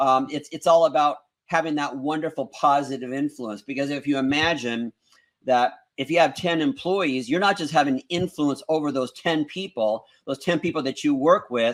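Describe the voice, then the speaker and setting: A man's fairly high pitch with ordinary pitch variation at a moderate pace, on a very clean recording with a silent background. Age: 60s. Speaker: motivational speaker and school co-owner. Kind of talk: interview on a talk show. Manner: halting with frequent repeated words.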